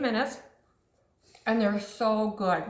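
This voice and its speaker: A woman is speaking. Room echo can be heard around her voice. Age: 60s. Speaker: cooking channel host. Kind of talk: cooking tutorial. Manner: casual, chatty.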